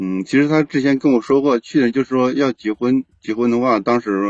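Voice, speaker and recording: Over a quiet background, a man speaks at a fairly quick pace with ordinary pitch variation, the sound dry and close with no echo. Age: 30s. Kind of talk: phone-in advice call. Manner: halting.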